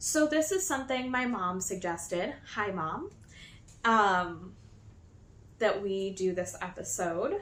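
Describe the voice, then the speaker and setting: Recorded with audible room echo, a woman speaks very slowly at a medium pitch with ordinary pitch variation. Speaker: knitting podcaster. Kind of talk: casual podcast chat. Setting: new filming location.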